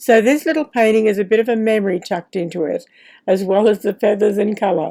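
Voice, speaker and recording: A woman with an Australian accent speaks at a moderate pace in a dark, mellow tone, her pitch fairly high with ordinary variation, on a very clean recording with a silent background. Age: 80s+. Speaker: retired professional artist. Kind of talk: casual talk to camera while painting. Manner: gentle, chatty.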